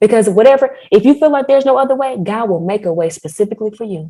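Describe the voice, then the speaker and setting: A woman with a dark, mellow tone and fairly high pitch, speaking very fast with lively intonation. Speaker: faith-based podcast host. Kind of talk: casual chat. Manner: animated.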